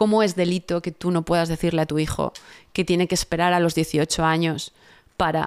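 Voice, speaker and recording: The woman's fairly low voice moves at a moderate pace. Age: 40s. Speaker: political commentator. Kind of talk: interview. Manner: animated.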